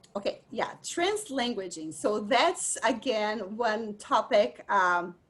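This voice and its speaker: A woman with a Brazilian accent, fairly high pitch, lively intonation and a very slow pace. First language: Portuguese. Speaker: dyslexia and bilingualism expert presenter. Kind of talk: lecture.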